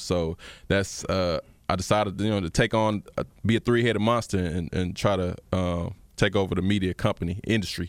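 A normal speaking voice from a man, fairly low in pitch with fairly even intonation, on a very clean recording with a silent background. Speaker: former musician turned radio broadcaster. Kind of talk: casual chat.

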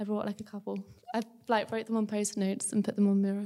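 A woman speaks with an English accent and a dark, mellow tone. Her intonation is monotone and flat. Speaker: university student. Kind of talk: testimony.

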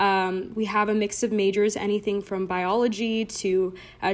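An ordinary speaking voice with fairly even intonation, in an American accent. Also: woman. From Southern California, Orange County. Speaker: recent graduate, fraternity member. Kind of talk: casual interview. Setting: remote recording.

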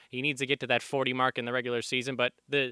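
A man's medium-pitched voice with an American accent and a bright, sharp tone, dry and close with no echo, on a very clean recording with a silent background. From Chicago. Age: 20s. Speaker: broadcasting student and podcast co-host. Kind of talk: casual chat. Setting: studio.

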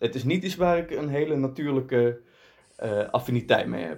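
This clip features a man talking. His voice is pitched in the middle. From Netherlands. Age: 20s. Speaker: provincial politician. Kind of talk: interview. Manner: hesitant, with fillers and repetitions.

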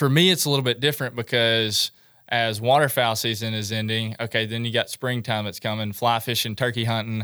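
A man with a West Tennessee accent talks at a fairly quick pace and a medium pitch, his tone bright and sharp. His intonation stays fairly even, and the recording is very clean with a silent background. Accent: US Southern (West Tennessee). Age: 20s. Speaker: outdoorsman and social media photographer. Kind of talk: casual interview chat.

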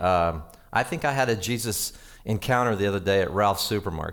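In an American accent, a man with a fairly low pitch and a normal speaking voice talks with lively intonation. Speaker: pastor. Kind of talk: sermon. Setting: church.

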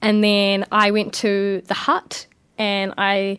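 Against a quiet background, a woman speaks at a medium pitch with a New Zealand accent. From New Zealand, Porirua near Wellington. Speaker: young council candidate. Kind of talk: radio interview. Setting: radio studio.

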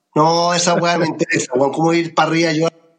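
Someone with a Chilean accent talks at a fairly quick pace, and the sound is dry and close with no echo. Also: man. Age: 60s. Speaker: comedian. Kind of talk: casual chat.

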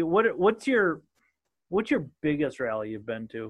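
A man with a Minnesotan accent and very wide pitch swings. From southern Minnesota. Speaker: podcast host. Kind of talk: casual interview chat. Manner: casual, joking.

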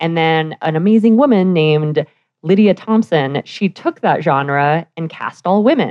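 This woman has an unremarkable speaking voice with a General American accent. She talks at a fairly slow pace in a fairly low pitch, with ordinary pitch variation. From Denver, Colorado, US. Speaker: burlesque performer and author. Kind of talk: casual interview. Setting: live radio studio at press club.

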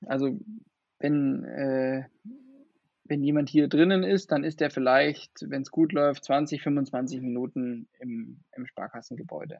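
This man speaks at a very slow pace, with big swings in loudness. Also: fairly high pitch for a man, ordinary pitch variation. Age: 20s. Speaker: vaccination centre manager. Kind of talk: interview.

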